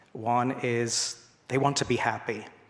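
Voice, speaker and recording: A man speaks with an English accent. His voice sits at a medium pitch. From England. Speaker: school principal. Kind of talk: church talk. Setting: church congregation. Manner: halting, many fillers and repetitions.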